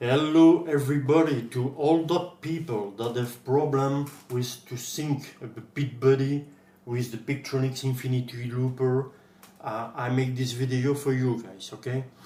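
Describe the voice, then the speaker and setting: Against noticeable background noise, a man speaks at a fairly slow pace in a medium pitch with fairly even intonation. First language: French. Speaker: guitar gear tutorial maker. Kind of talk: tutorial. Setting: screen recording at PC. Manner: halting.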